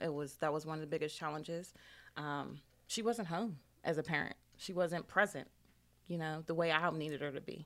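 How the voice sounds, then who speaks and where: Despite long, frequent pauses, the pace is fairly quick, on a very clean recording with a silent background. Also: woman, very deep, low pitch for a woman. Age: 30s. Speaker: single mother and author. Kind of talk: interview. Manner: hesitant, many fillers.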